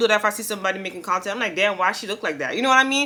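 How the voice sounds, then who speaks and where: A woman mumbles at a very fast pace with lively intonation. Noticeable background noise runs underneath. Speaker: lifestyle vlogger. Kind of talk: casual vlog monologue. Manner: fast, mumbles and runs words together.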